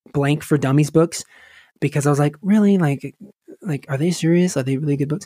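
A man with an American accent speaks at a fairly high pitch, with ordinary pitch variation, in a dry, close recording with no echo. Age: 20s. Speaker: musician and podcaster. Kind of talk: interview. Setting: podcast recording.

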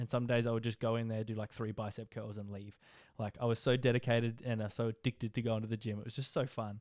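Spoken very fast in an Australian accent with monotone, flat intonation, the clip is a very clean recording with a silent background and a dry, close sound with no echo. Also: man, medium pitch for a man. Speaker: podcast host. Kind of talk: casual solo monologue.

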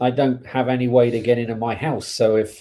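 Using an English accent, a man speaks at a moderate pace and medium pitch, with a dark, mellow tone and monotone, flat intonation. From England. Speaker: podcast co-host. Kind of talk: casual chat.

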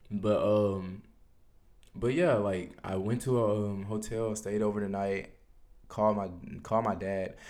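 Delivered at a fairly slow pace with long, frequent pauses, the fairly even speech in an American accent carries audible room echo. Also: man, fairly low pitch for a man. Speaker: podcast host. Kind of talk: personal monologue podcast. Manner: casual, hesitant with fillers.

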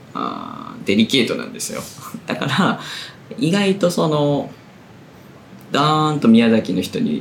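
A man with a fairly high pitch and very wide pitch swings, fairly slow with long, frequent pauses, amid audible room echo and noticeable background noise. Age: 30s. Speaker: literary magazine editor and podcast host. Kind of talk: casual chat.

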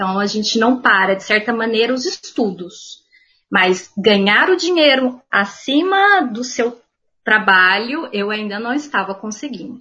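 With a bright, sharp tone and fairly high pitch, a woman speaks at a fairly slow pace with lively intonation. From Minas Gerais, Uberaba. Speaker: art history teacher and podcast host. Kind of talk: casual chat.

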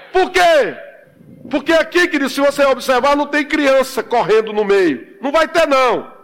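A man's extremely high voice, fairly slow, with ordinary pitch variation, over noticeable background noise. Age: 50s. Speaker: pastor. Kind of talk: sermon. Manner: animated.

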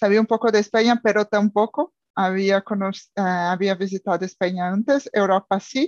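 A woman with a Brazilian accent speaks at a medium pitch and a moderate pace, with fairly even intonation and hardly any pauses. The sound is dry and close, with no echo. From Brazil, São Paulo. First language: Portuguese (speaking Spanish). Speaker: language student, expat. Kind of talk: casual chat. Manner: halting.

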